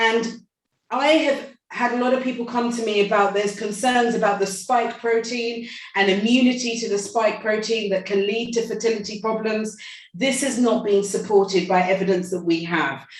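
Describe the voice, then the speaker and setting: A woman's fairly high voice, with ordinary pitch variation, rings with audible room echo. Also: moderate pace. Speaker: medical expert. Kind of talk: panel talk. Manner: halting.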